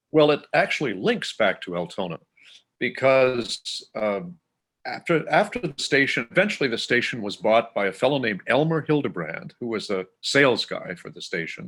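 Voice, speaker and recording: A man with a Canadian accent speaks at a moderate pace and fairly high pitch, with very wide pitch swings and vocal fry. The recording is very clean, with a silent background. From southern Manitoba, Canada. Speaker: classical music broadcaster. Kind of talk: interview.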